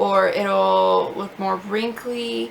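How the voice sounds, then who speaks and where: A woman speaks over noticeable background noise. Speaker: beauty vlogger. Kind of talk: product review vlog. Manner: halting, many fillers; casual, chatty.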